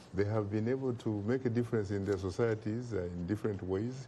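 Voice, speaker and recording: Speaking with an African accent at a moderate pace, the man has a dark, mellow tone that is somewhat breathy. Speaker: talk show host and political commentator. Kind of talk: TV talk show discussion. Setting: TV studio.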